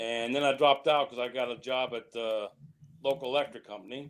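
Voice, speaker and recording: Here a man speaks at a medium pitch. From Ohio, US. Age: 60s. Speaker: professional bowler. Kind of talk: interview. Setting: live stream interview.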